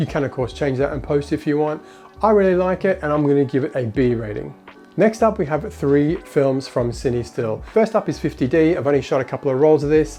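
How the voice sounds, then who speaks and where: With music in the background, a man speaks at a very fast pace, his fairly high pitch showing ordinary variation. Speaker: film photography youtuber. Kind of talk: casual talk to camera.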